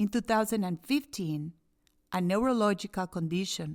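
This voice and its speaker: A woman with a non-native accent speaks at a medium pitch and a moderate pace with ordinary pitch variation, the sound dry and close with no echo on a very clean recording with a silent background. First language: Spanish. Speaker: inspirational speaker. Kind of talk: podcast monologue.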